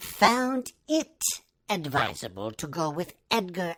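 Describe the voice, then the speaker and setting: This is a put-on character voice. The pitch swings very widely. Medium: read story. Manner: pompous, formal.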